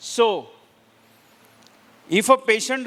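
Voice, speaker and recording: A raised, projected voice with fairly even intonation comes through in a dry, close sound with no echo. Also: man. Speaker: Ayurveda lecturer. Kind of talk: lecture.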